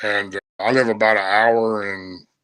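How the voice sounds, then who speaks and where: Fairly low in pitch, the man talks in a monotone, flat intonation. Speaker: bigfoot researcher telling encounters. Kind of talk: storytelling interview.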